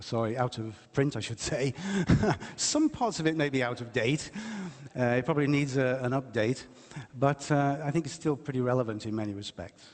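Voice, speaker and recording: With an English accent, a man talks at a medium pitch and a moderate pace with ordinary pitch variation over noticeable background noise. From England, West Midlands. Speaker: lecturer and writer. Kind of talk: public lecture.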